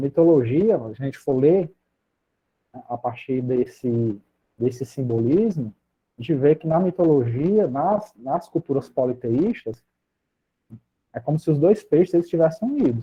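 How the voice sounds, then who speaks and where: A somewhat breathy man talks at a fairly high pitch and fairly slow pace, with lively intonation, long, frequent pauses and big swings in loudness. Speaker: psychologist and lecturer. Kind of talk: lecture.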